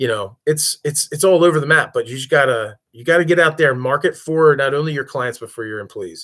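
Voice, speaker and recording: Over a silent background in a very clean recording, a man speaks at a fairly quick pace in a bright, sharp tone with ordinary pitch variation. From Delaware. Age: 40s. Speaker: pressure washing business owner. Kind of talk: live stream talk. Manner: casual, filler-heavy.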